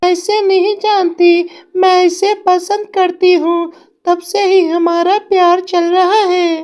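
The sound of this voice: In a cartoonish character voice, a female-sounding speaker talks at a very slow pace with an extremely high pitch and monotone, flat intonation.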